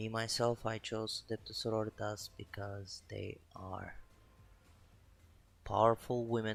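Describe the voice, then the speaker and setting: A man with a non-native accent talks at a very slow pace. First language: not English. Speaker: miniature painting streamer. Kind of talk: live stream painting commentary. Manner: casual, self-talk with hesitations.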